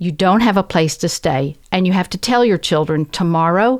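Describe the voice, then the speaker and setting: A woman's medium-pitched, lively speech in a Southern US accent at a moderate pace, in a very clean recording with a silent background. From US South. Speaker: professor and translator. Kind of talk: interview conversation.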